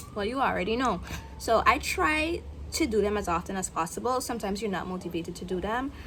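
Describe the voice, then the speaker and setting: Talking very fast with an American accent, a woman uses lively intonation at a medium pitch. Audible room echo and noticeable background noise surround her. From Guyana. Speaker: content creator vlogger. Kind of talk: casual vlog monologue. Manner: unscripted, with filler words.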